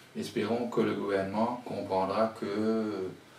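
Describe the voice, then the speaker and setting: Speaking with a Mauritian accent, a man delivers his words in a flat monotone, with audible room echo and noticeable background noise. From Mauritius. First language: Mauritian Creole (speaking French). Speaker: writer and poet. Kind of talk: interview. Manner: halting, with many repetitions.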